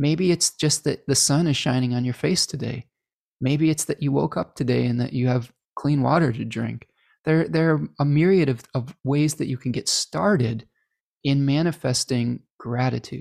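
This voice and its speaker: With an American accent, a man talks in a normal speaking voice at a moderate pace with ordinary pitch variation, the sound dry and close with no echo. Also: fairly high pitch for a man. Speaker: astrologer hosting a live stream Q&A. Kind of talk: live stream Q&A chat. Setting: live stream with chat. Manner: relaxed, filler-heavy with frequent repetitions.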